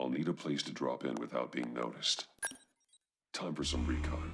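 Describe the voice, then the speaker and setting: In a put-on character voice, a man speaks at a moderate pace with a very deep, low pitch and fairly even intonation. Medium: video game. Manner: terse, clipped commands.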